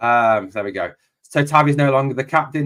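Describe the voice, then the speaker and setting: Music plays in the background as a man with a northeast English accent speaks at a fairly high pitch with fairly even intonation. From northeast England, Durham. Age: 40s. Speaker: football streamer. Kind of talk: live match commentary with chat. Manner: casual, chatty.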